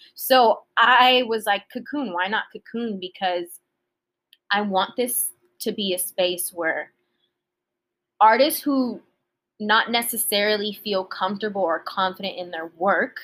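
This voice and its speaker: A woman talks at a fairly slow pace with long, frequent pauses. Her voice is fairly high and bright, sharp in tone, with an American accent. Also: ordinary pitch variation. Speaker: singer-songwriter and nonprofit founder. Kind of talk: casual chat.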